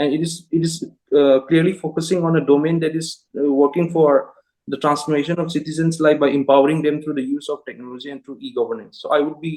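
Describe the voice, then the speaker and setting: In a Manipur accent, a man talks at a very fast pace with monotone, flat intonation, a fairly high pitch and a dark, mellow tone. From Manipur, northeast India. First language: Manipuri. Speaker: job interview candidate, engineer. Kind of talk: mock job interview. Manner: halting, many fillers.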